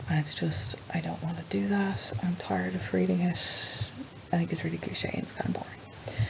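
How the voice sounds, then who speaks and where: Soft-spoken woman with a very deep, low pitch and very wide pitch swings at a fairly quick pace, with audible room echo and noticeable background noise. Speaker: vlogger. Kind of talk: casual vlog. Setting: at home at night.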